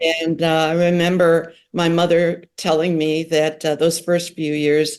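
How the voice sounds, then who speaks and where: With an American accent, a woman speaks fairly slowly in a very deep, low pitch. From US Midwest, Kenosha, Wisconsin. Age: 80s. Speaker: professor of social work and family therapy. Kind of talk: interview.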